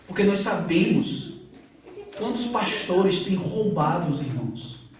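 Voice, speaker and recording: With a northeastern Brazilian accent, a man at a high pitch talks at a fairly slow pace with lively intonation, amid noticeable background noise and audible room echo. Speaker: pastor. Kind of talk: sermon.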